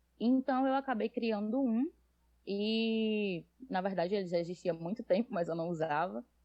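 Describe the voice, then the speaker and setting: This woman talks at a moderate pace in a medium pitch, with lively intonation. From Brazil, Northeast (Natal, Rio Grande do Norte). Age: 20s. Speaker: fanfic writer, nursing student. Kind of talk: podcast interview.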